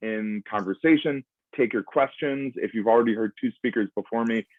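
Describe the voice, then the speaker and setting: A man at a medium pitch and moderate pace with an American accent and ordinary pitch variation. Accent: American English, native speaker. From US Northeast, Providence, Rhode Island. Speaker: foreign policy institute director. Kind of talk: lecture. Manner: halting, many fillers.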